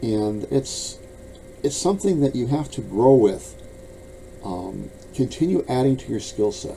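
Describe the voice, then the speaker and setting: Lively intonation at a fairly slow pace, with long, frequent pauses and noticeable background noise. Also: man, medium pitch for a man. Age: 70s. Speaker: bladesmith and author. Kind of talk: casual monologue to camera. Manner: halting, repeating words.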